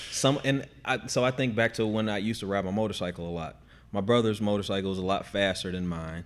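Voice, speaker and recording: At a very fast pace, a man talks in a fairly low voice with ordinary pitch variation. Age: 30s. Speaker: CrossFit coach. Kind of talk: casual chat.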